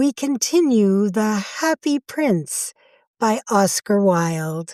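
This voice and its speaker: Soft-spoken and very slow, a woman's voice sits at a fairly high pitch with a dark, mellow tone and very wide pitch swings. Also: very clean recording, silent background. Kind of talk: calm podcast intro. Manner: slow, clear, soft-spoken.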